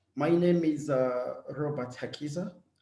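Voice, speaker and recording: Audible room echo surrounds a man whose fairly high voice has a dark, mellow tone and fairly even intonation. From eastern Congo (Bukavu). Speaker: refugee-led organization director. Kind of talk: webinar introduction. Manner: halting, many fillers.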